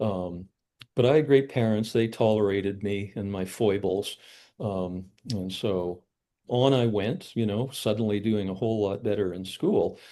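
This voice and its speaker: Against a quiet background, a man talks at a moderate pace in a dark, mellow tone. His pitch is fairly low, with ordinary variation. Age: 60s. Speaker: psychologist and researcher. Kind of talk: casual interview conversation. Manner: halting, many fillers and repeats.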